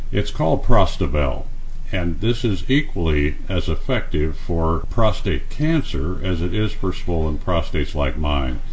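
Noticeable background noise sits behind a man who speaks fairly slowly. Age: 70s. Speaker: radio host and health author. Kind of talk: radio interview. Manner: halting, with frequent uh fillers.

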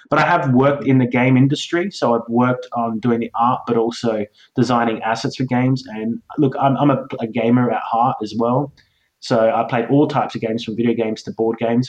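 With an Australian accent, a man talks at a fairly quick pace and medium pitch, keeping his intonation fairly even. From Australia, Adelaide. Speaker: game designer and illustrator. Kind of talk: interview. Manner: hesitant, many fillers.

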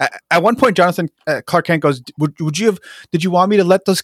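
A man's high-pitched voice with an American accent, dry and close with no echo, on a very clean recording over a silent background. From New Jersey, Jersey City. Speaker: podcaster and pop culture writer. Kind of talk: casual chat. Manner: halting, frequent fillers and repeats.

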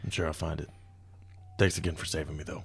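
Raspy put-on character voice from a man, delivered at a very fast pace over clear background noise. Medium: actual play. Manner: glum, self-deprecating.

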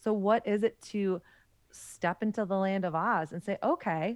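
A woman speaks in an ordinary speaking voice with an American accent, her medium pitch showing ordinary variation. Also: quiet background. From US South. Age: 30s. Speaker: author and podcast host. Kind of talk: interview conversation.

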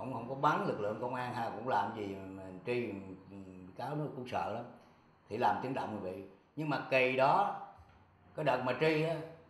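Amid audible room echo and noticeable background noise, a man with a medium pitch speaks at a fairly slow pace with lively intonation. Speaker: retired police officer. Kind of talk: interview testimony.

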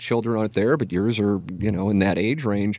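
This man has an ordinary speaking voice with a fairly low pitch. He talks at a fairly quick pace against a quiet background. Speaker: sports radio host. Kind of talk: casual chat. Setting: studio.

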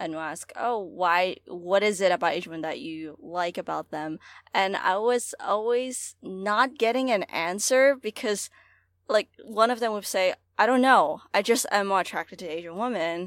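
With an ordinary speaking voice and an American accent, a woman talks at a fairly slow pace and medium pitch, using lively intonation and big swings in loudness, on a very clean recording with a silent background and a dry, close sound with no echo. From Hong Kong, then New York City from age eleven. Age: 20s. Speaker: student activist. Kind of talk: casual podcast discussion.

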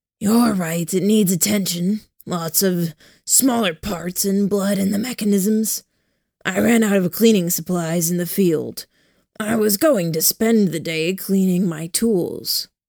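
Gravelly and gruff, a put-on character voice moves at a fairly slow pace with ordinary pitch variation. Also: woman, medium pitch for a woman. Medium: read story. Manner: terse, gruff.

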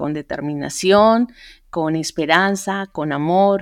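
A woman speaks at a very slow pace with fairly low pitch and ordinary pitch variation. The recording is very clean with a silent background. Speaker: entrepreneur. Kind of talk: interview. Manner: halting.

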